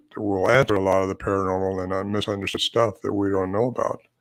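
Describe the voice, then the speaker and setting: In a very clean recording with a silent background, a man talks very fast in a fairly low voice. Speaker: Bigfoot researcher and author. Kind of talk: interview. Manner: animated.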